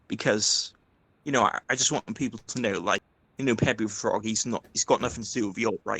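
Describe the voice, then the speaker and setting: With a Welsh accent and a bright, sharp tone, a man speaks at a moderate pace in a dry, close sound with no echo and a quiet background. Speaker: YouTuber, debate guest. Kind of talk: casual chat.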